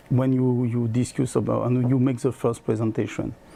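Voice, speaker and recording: This man talks at a medium pitch with a French accent. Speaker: product sales trainer. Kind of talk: product presentation. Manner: halting.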